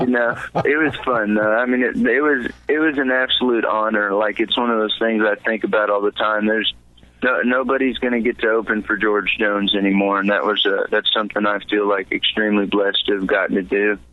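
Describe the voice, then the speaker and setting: In a Texan accent, a man speaks at a fairly quick pace with medium pitch, fairly even intonation and very even loudness. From Texas, San Antonio. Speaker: country singer-songwriter. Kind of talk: interview. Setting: studio. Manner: halting, many repeated words and fillers.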